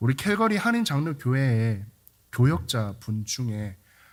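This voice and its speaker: His voice somewhat breathy, a man speaks at a medium pitch and a fairly slow pace with very wide pitch swings. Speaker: pastor. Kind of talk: sermon.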